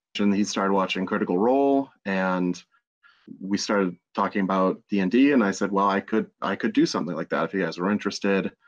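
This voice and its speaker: A man talks at a fairly quick pace with a fairly low pitch and ordinary pitch variation, in an ordinary speaking voice. The background is quiet. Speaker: podcast producer and game master. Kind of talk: casual chat.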